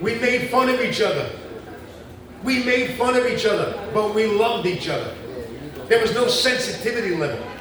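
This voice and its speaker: An animated man at an extremely high pitch and a moderate pace, with long, frequent pauses, audible room echo and noticeable background noise. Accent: New York. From New York. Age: 60s. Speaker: artist and activist. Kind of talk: public speech.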